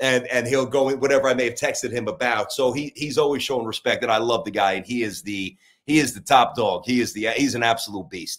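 Against a quiet background, a man at medium pitch talks very fast in an animated tone, with hardly any pauses and ordinary pitch variation. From Brooklyn, New York. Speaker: sports talk radio host. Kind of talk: casual chat interview. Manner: fast, animated. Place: office.

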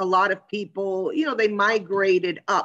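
Over a quiet background, a woman speaks at a medium pitch in a bright, sharp tone. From Cuba. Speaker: genealogist and author; guest. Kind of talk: Q&A answer at online talk. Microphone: video call.

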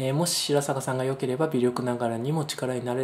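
The speaker moves at a fairly quick pace with fairly even intonation, and background noise is noticeable. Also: man. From Japan, Kyushu (Kagoshima). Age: 30s. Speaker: educator and investor giving talks. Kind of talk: monologue talk to camera. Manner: frequent filler hesitations.

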